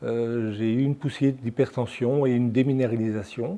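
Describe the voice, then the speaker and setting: A man talks at a medium pitch with a dark, mellow tone. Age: 70s. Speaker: patient association president. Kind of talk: personal testimony. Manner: hesitant, frequent filler sounds.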